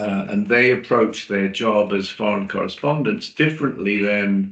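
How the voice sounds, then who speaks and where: A man with a British accent speaks at a fairly slow pace in a fairly low pitch. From Britain. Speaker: journalist and PR specialist. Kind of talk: webinar presentation. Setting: online webinar.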